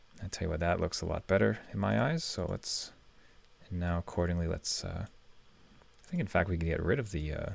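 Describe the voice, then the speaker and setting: Recorded very cleanly against a silent background, a man with a very deep, low pitch and vocal fry speaks fairly quickly with lively intonation. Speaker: web design tutorial creator. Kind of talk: screen-recorded tutorial. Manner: fast.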